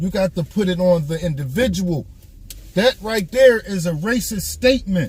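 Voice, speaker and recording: Noticeable background noise surrounds a man with an American accent. He speaks in an animated tone at a moderate pace. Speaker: live streamer. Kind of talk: casual live stream monologue. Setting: live stream.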